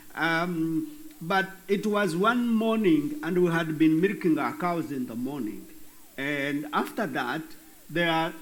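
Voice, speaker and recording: A man talks at a very slow pace with a high pitch and lively intonation. Audible room echo surrounds his voice. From Western Uganda. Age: 50s. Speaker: bishop. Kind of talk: interview.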